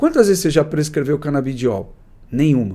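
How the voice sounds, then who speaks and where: With a dark, mellow tone, a man speaks at a fairly high pitch, his voice swinging very widely in pitch. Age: 60s. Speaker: psychiatrist. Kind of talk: interview. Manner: conversational, with hesitations.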